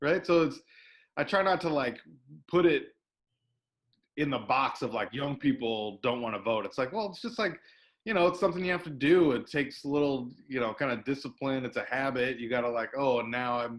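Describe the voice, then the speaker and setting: A man with an American accent talks at a fairly quick pace in a fairly high pitch, his intonation lively, on a very clean recording with a silent background. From US Pacific Northwest. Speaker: invited speaker. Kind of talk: panel Q&A talk.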